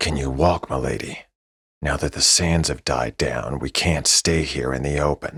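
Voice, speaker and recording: In a put-on character voice, a man talks at a moderate pace with a very deep, low pitch and a dry, close sound with no echo. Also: fairly even intonation. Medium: read story. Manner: terse, respectful.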